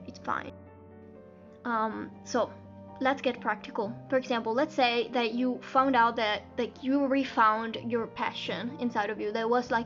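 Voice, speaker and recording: Over music in the background, a woman speaks at a fairly slow pace in a fairly high pitch. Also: fairly even intonation. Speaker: singer. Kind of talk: casual talk to camera.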